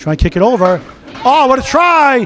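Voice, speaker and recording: Noticeable background noise surrounds a man with an extremely high pitch. He talks at a fairly quick pace with lively intonation. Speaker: play-by-play commentator. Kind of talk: live commentary.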